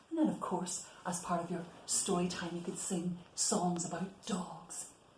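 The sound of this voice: With audible room echo, a woman speaks at a fairly slow pace and fairly low pitch, her slightly mellow tone keeping fairly even intonation.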